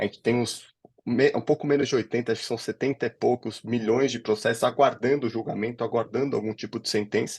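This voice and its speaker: A man with a São Paulo accent, fairly quick in pace and flat, monotone in intonation. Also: medium pitch for a man. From São Paulo, Brazil. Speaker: legal director of a legal tech company. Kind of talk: interview conversation.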